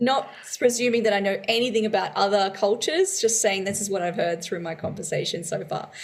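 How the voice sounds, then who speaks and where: In an Australian accent, a woman speaks at a medium pitch and a fairly quick pace with ordinary pitch variation over noticeable background noise. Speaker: podcast co-host. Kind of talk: casual chat.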